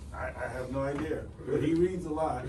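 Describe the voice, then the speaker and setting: Both audible room echo and noticeable background noise accompany a man as he speaks. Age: 50s. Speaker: retiring army finance officer. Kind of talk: retirement speech. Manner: casual, repeats words often.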